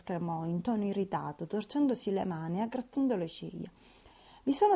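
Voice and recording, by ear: Lively intonation during reading aloud in a natural voice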